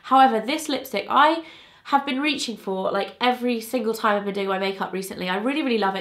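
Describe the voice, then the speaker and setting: Noticeable background noise sits behind a woman with a British accent. She talks at a fairly quick pace and fairly high pitch, with ordinary pitch variation. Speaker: beauty vlogger. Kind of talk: casual chat. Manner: chatty, informal.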